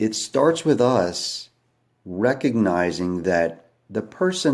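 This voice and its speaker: A man with very wide pitch swings, on a very clean recording with a silent background. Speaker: livestreamer talking to viewers. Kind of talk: live stream monologue. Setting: at home at night, kids asleep. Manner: quiet, hushed.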